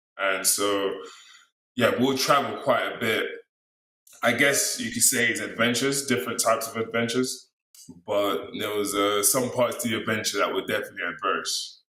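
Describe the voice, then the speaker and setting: Audible room echo carries the voice of a man with an American accent. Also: moderate pace. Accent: American twang. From London, then US. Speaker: speaker sharing life story. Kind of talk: interview.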